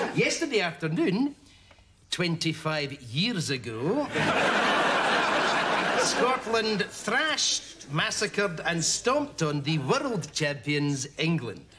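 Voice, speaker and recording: A man at a very slow pace, with loud background noise. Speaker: comedy actor in a sketch. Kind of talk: scripted comedy dialogue. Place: bar.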